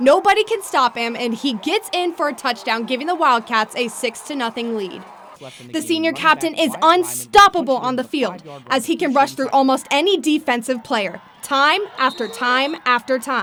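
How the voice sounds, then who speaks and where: Over noticeable background noise, a woman with an American accent speaks at a moderate pace in a high pitch with very wide pitch swings. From Ohio, Columbus. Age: 20s. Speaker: student TV news reporter. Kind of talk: news reporting.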